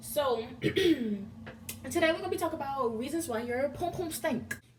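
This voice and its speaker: A woman speaks at a moderate pace with very wide pitch swings. Background noise is noticeable. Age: young. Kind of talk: casual talk to camera. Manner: animated, humorous.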